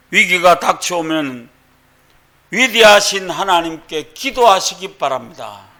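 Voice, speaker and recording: In a Gyeongsang accent, a bright, sharp voice moves at a very slow pace with lively intonation. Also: man, long, frequent pauses. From Gyeongsang region, South Korea. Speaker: pastor. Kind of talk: sermon.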